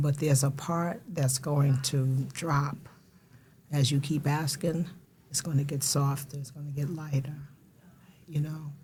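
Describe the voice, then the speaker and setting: A woman with a very deep, low voice speaks in a flat monotone, her dark, mellow tone somewhat breathy and broken by long, frequent pauses. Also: fairly slow pace. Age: 60s. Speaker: recovery support specialist and mental health advocate. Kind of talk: podcast interview.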